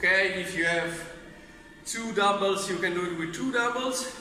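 With audible room echo and light background noise, a man talks in a raised, projected voice with ordinary pitch variation. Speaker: fitness instructor. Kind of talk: tutorial. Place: gym. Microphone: camera far.

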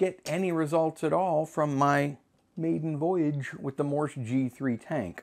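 The speech goes at a moderate pace. The background is quiet. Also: man. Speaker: film hobbyist host. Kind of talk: casual vlog chat. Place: home room. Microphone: lapel.

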